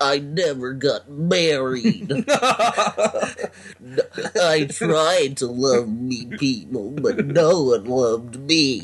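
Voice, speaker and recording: In a put-on character voice pitched fairly high, a man talks at a very slow pace with hardly any pauses. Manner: sad, mournful.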